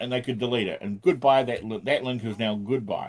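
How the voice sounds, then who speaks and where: A man with a New Zealand accent speaks at medium pitch. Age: 40s. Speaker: programming livestreamer. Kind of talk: casual livestream chat. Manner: animated.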